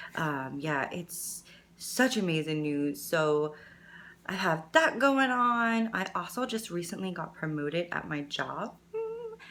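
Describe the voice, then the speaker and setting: Very slowly, a woman speaks in a fairly low, bright and sharp voice with lively intonation. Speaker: beauty vlogger and makeup artist. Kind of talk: makeup tutorial and life update chat. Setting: at home. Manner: casual, filler-heavy.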